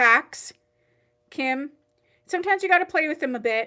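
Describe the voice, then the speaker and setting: In a raised, projected voice with a bright, sharp tone, a woman speaks on a very clean recording against a silent background. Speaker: online wig boutique owner hosting live sale. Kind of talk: live-stream sales chat. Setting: livestream. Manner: casual, chatty.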